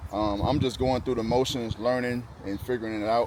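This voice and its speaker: Talking with ordinary pitch variation, a man has an unremarkable speaking voice pitched in the medium range. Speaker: DIY mechanic YouTuber. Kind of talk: casual tutorial. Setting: outdoors in garage area.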